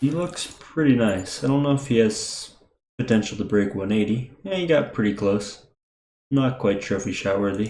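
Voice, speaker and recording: A quiet man's voice at a moderate pace, medium in pitch, with a dark, mellow tone and lively intonation. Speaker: gaming youtuber. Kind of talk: gameplay commentary. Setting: home recording at night.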